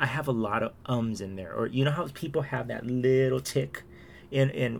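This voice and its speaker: A man talks at a fairly slow pace with a medium pitch. His intonation is lively. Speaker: podcaster. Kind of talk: casual solo chat. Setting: home recording, late at night. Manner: rambling, hesitant, chatty.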